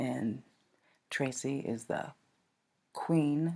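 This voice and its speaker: Showing vocal fry, a woman talks in a very deep, low voice with a dark, mellow tone and ordinary pitch variation. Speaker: podcast host. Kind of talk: monologue podcast.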